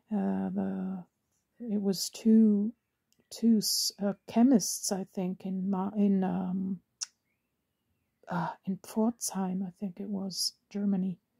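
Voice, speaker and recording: Speech comes at a very slow pace with long, frequent pauses. The speaker has a non-native accent. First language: Italian and German. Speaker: cameo collector. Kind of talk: casual talk to camera. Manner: hesitant, many fillers.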